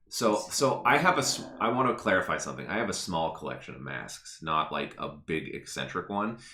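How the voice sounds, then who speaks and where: A man speaks fairly quickly with hardly any pauses, his fairly low voice bright and sharp with vocal fry. His tone is animated, and his pitch swings very widely. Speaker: podcast co-host. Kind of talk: casual chat. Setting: live stream.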